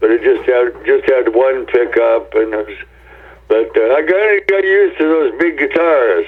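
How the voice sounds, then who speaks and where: A man talks at a moderate pace with an American accent, and noticeable background noise can be heard. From US Pacific Northwest, Tacoma, Washington. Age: 70s. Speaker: rock guitarist. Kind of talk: interview. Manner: halting, many fillers.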